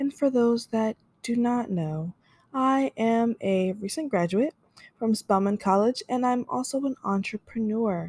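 Somewhat breathy yet dark and mellow, a woman's fairly high voice carries lively intonation. The recording is very clean, with a silent background and a dry, close sound with no echo. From Florida, US. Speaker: podcast host and business owner. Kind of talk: casual solo podcast monologue, intro. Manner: upbeat, friendly.

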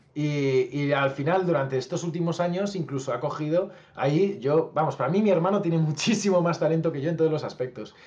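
Fairly high in pitch, a man with a plain, everyday voice talks at a fairly quick pace with ordinary pitch variation and hardly any pauses. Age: 30s. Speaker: musician and youtuber. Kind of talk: casual interview.

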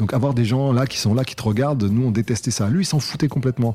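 A man talking at a very fast pace with ordinary pitch variation, music in the background. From southern France, Cannes (Alpes-Maritimes). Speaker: rapper and lyricist. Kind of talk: interview.

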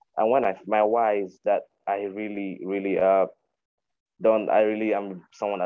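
In a Nigerian accent, a man speaks with fairly low pitch and monotone, flat intonation. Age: 20s. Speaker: podcast host, virtual assistant. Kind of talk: casual chat. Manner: halting.

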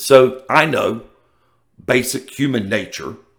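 An animated voice in a Southern US accent. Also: man. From US South. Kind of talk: casual monologue.

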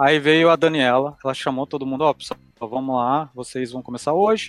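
Backed by music, the man's voice runs somewhat high and moves in pitch the usual amount. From Brazil, Curitiba. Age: 30s. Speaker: cloud support engineer. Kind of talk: interview.

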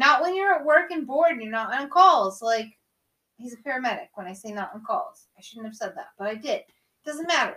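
A raised, projected voice with a bright, sharp tone and an animated delivery moves at a fairly quick pace, with big swings in loudness and very wide pitch swings. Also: woman, high pitch for a woman. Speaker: guest host. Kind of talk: casual chat.

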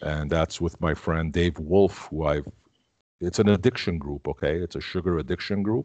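In a very deep, low voice, a man talks at a moderate pace with ordinary pitch variation against a quiet background. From Canada, Armenian family. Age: 50s. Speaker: keto advocate. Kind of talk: interview. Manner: halting, many fillers and repeats.

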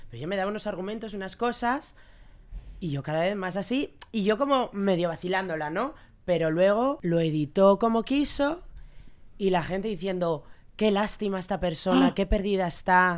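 On a very clean recording with a silent background, a woman with an unremarkable speaking voice talks at a moderate pace, her medium pitch carrying lively intonation. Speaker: podcast guest, regular contributor. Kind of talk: casual chat.

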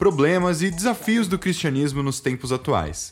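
Music plays behind a man. His intonation is lively. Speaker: podcast host. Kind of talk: interview; scripted narration.

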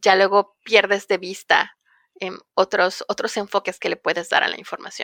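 The sound is dry and close with no echo as a woman talks at a moderate pace in a bright, sharp tone with monotone, flat intonation. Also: medium pitch for a woman. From Mexico, Ciudad del Carmen, Campeche. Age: young. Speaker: climate advocacy director. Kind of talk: interview. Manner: passionate.

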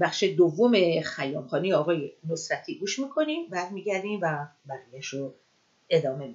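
An unremarkable speaking voice from a woman, fairly low in pitch, at a moderate pace, with lively intonation and big swings in loudness. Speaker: podcast host. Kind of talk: casual monologue.

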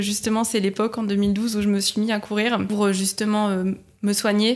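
On a very clean recording with a silent background, a woman talks at a moderate pace and fairly high pitch with a monotone, flat intonation. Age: 30s. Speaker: patient sharing her illness. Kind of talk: testimony.

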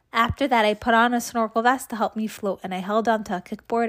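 A woman speaks at a very fast pace with monotone, flat intonation in a very clean recording with a silent background. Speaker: children's book reader, mother of co-host. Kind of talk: reading aloud.

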